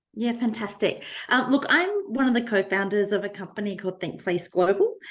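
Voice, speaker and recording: Her accent is Australian. The woman keeps a fairly quick pace. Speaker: design strategist and academic. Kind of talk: podcast interview. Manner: frequent filler ums.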